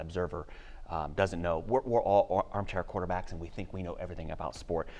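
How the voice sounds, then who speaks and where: Fairly even intonation carries the speech over a quiet background. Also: man. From Ohio. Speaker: college track and cross country coach. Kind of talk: podcast interview. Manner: conversational with many fillers.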